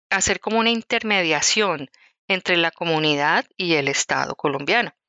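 This woman's pitch varies in an ordinary way. She talks at a fairly slow tempo. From Colombia, Bogotá. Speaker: activist. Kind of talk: interview. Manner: halting.

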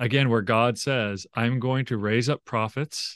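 Recorded with a dry, close sound, no echo and a quiet background, a man speaks in a normal speaking voice at medium pitch with fairly even intonation. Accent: American. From Oklahoma, US. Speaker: professor. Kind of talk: interview.

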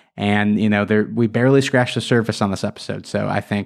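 A man speaks in a normal speaking voice. His pitch is fairly low. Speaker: superfan guest.

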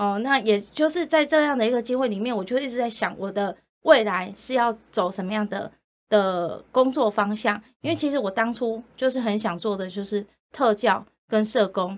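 The pace is moderate and the pitch shows ordinary variation. It is a normal speaking voice. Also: woman, fairly high pitch for a woman, very clean recording, silent background. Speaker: social worker, director of a rehabilitation center for the visually impaired. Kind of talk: interview.

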